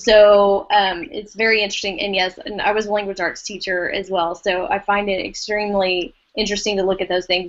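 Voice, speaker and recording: In an East Texas accent, a woman speaks at a medium pitch. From East Texas, US. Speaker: educator, former language arts teacher. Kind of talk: casual podcast discussion.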